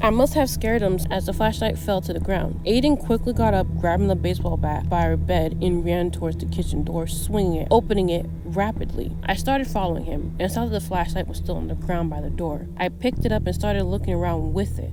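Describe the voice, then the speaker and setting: Against background music, a woman talks at a very fast pace. She hardly pauses at all. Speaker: horror story narrator. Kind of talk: horror story narration.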